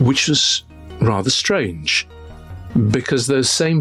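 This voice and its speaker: A man speaks with a British accent. Noticeable background noise runs underneath. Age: 60s. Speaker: journalist. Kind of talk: interview testimony.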